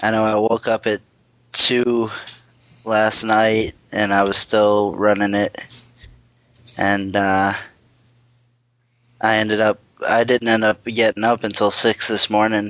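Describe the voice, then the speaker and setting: A man speaks at a fairly slow pace and fairly low pitch, with long, frequent pauses. His intonation is monotone and flat. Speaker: podcast host. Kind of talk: casual chat. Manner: rambling, hesitant with many fillers.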